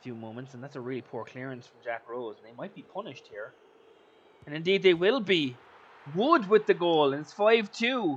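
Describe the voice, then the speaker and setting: A man with a high-pitched voice talks with very wide pitch swings and big swings in loudness. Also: moderate pace. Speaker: gaming commentator. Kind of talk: video game football commentary.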